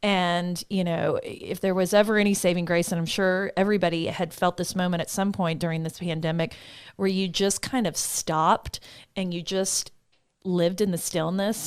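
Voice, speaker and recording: On a very clean recording with a silent background, a woman talks at a moderate pace in a fairly low pitch. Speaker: podcast host. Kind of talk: podcast interview. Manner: animated.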